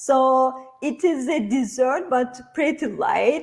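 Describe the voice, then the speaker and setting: A woman speaks in a Turkish accent at a high pitch. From Turkey. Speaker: cooking instructor. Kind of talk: cooking tutorial. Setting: online livestream from a kitchen.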